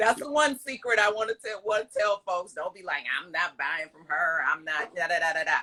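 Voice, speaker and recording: A woman with a medium pitch speaks at a fairly quick pace with hardly any pauses, her animated tone carrying lively intonation and big swings in loudness. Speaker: yarn shop owner and lawyer. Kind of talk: casual interview.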